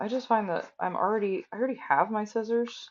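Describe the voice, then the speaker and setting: The speech is mumbled at a moderate pace. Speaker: crafter streaming sewing work. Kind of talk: live-stream tutorial. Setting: live stream at home workspace. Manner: mumbling; casual, conversational. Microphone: recorded with phone after headphone mic failed.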